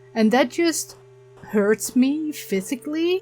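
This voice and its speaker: The speech moves at a very slow pace with very wide pitch swings. Music plays in the background. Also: woman. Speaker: gaming YouTuber. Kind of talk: let's play commentary. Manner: quiet.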